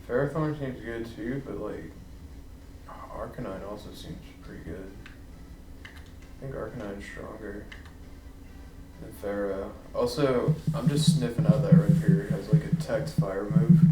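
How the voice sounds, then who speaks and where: A man with a fairly high pitch mumbles at a fairly slow pace, with long, frequent pauses and big swings in loudness. Noticeable background noise and audible room echo are in the recording. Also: lively intonation. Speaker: gaming streamer. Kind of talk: gameplay commentary. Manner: mumbling; hesitant.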